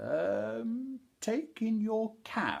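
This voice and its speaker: Putting on a character voice, a man talks high in his range. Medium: read story.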